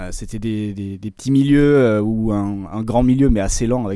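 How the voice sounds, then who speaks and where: Clean and silent in the background, this recording features a man with a dark, mellow tone. His pitch is medium and his intonation fairly even. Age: 30s. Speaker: football video and performance analyst. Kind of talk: podcast interview.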